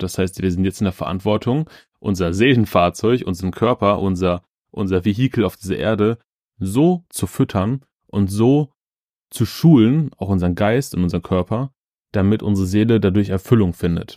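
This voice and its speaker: Fairly quick and with ordinary pitch variation, a man's dark, mellow voice sits fairly low, captured dry and close with no echo in a very clean recording against a silent background. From Ruhr area, Germany (Schwerte). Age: 30s. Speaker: podcast host. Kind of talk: motivational monologue. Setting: childhood bedroom at parents' home.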